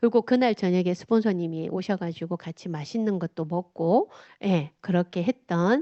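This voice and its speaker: With a strong Gyeongsang accent, a woman speaks at a moderate pace with lively intonation. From South Gyeongsang, Korea (Changnyeong). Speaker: motivational speaker. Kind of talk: talk with slides to an audience. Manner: casual.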